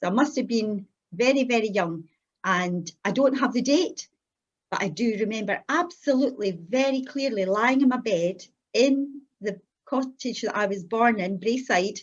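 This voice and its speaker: With a Scottish accent, a woman speaks at a fairly high pitch with lively intonation and a moderate pace. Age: 60s. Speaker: church member giving her testimony. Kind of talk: testimony.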